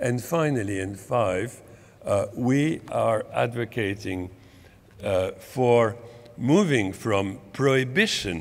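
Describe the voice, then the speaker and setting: Audible room echo surrounds a man with a French accent and a medium pitch. He speaks very slowly, with lively intonation. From France. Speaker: medical professor and public health advocate. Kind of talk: conference talk. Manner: halting, with many repetitions.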